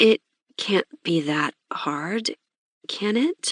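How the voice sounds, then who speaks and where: A put-on character voice comes through raspy and timid in tone, with very wide pitch swings. The sound is dry and close, with no echo. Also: woman, medium pitch for a woman. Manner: timid, unsure.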